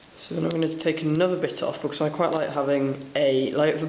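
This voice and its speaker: Noticeable noise sits in the background. The delivery comes at a moderate speed. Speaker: hobbyist model painter. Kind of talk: tutorial. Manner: casual, hesitant with fillers.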